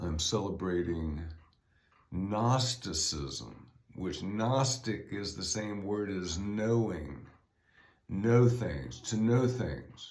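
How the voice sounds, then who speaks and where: A man's very slow speech with lively intonation and audible room echo. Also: fairly low pitch for a man. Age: 60s. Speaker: podcaster and author. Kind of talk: solo podcast monologue. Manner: casual, halting with fillers.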